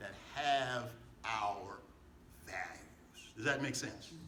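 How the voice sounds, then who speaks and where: An animated man speaks amid noticeable background noise and audible room echo. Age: 70s. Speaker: pastor. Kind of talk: political rally speech. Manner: animated, repetitive call-and-response.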